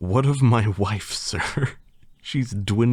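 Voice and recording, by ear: The passage is read aloud in a natural voice, and the pitch varies in an ordinary way.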